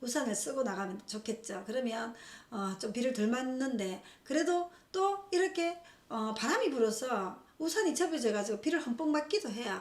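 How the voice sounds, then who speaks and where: A woman with a high pitch talks at a moderate pace with very wide pitch swings, in audible room echo and noticeable background noise. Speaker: fortune teller. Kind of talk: lecture.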